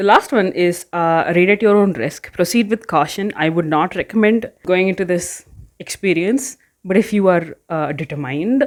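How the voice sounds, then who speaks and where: Soft-spoken, a woman with a medium pitch and lively intonation speaks at a moderate pace on a very clean recording with a silent background. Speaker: book YouTuber. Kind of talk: casual vlog chat. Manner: hesitant, filler-heavy.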